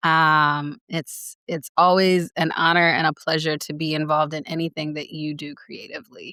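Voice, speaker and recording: In an American accent, a woman with a very deep, low pitch and a bright, sharp tone talks at a moderate pace with hardly any pauses, her intonation monotone and flat but her loudness swinging widely, in a very clean, dry, close recording with no echo and a silent background. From US South, Greenville, South Carolina. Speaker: writer and former apparel designer. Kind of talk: casual interview chat.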